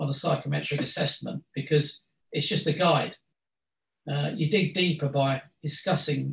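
There is audible room echo as a man talks at a moderate pace. His voice is somewhat breathy, and his intonation stays fairly even. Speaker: guest lecturer. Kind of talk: lecture. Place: meeting room. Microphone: video call.

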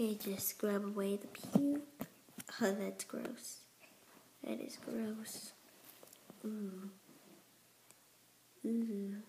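A woman speaks very slowly at a medium pitch, with long, frequent pauses. Her pitch varies normally, her loudness swings a lot, and background noise is noticeable. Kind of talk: casual gameplay commentary. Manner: upbeat, excitable.

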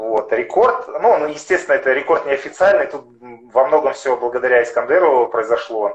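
Man in a room with audible echo, background otherwise quiet. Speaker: amateur marathon and ultramarathon runner; guest. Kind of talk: interview. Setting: video call over mobile internet. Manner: halting, many fillers. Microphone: unstable connection.

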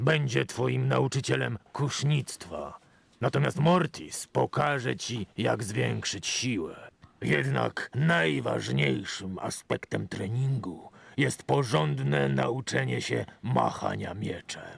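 In a raspy, put-on character voice, a man speaks at a fairly slow pace with a very deep, low pitch and very wide pitch swings. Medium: video game. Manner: firm, encouraging.

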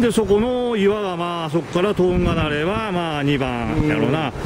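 A high-pitched man speaks in a Kagoshima accent with lively intonation. His pace is moderate, and noticeable background noise is present. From Kagoshima, Japan. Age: old. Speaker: local guide walking tour. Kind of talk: casual talk while walking. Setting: outdoors. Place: open country. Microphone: phone near.

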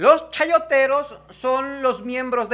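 At a slow pace, a man with an extremely high pitch and a bright, sharp tone speaks with fairly even intonation.

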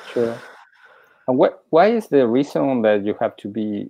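Against a quiet background, a man with a dark, mellow tone and medium pitch speaks at a fairly slow pace. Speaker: podcast host and interviewer. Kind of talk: casual interview. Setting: live stream video call. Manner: halting, many repetitions and fillers. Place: home room. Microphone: earbuds.

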